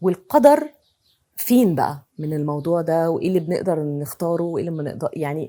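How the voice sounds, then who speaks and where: With an Egyptian accent, a woman speaks at a fairly quick pace. Her voice has a fairly low pitch and a dark, mellow tone. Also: ordinary pitch variation. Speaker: podcast host. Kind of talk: podcast interview questions.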